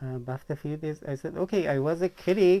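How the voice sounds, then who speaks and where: A man speaks with a Persian accent. His tone is dark and mellow. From Iran. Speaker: author and vlogger. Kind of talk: personal vlog monologue. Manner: halting.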